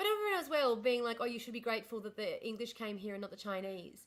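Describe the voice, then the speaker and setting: In an Australian accent, a woman with a fairly high pitch talks at a fairly quick pace with ordinary pitch variation. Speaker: livestreamer. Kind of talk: casual chat. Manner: fast; animated.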